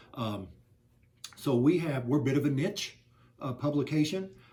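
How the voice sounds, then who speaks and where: With an American accent, a man speaks at a moderate pace in a somewhat breathy voice with a dark, mellow tone. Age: 60s. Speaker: newspaper owner. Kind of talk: interview. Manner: halting with many fillers.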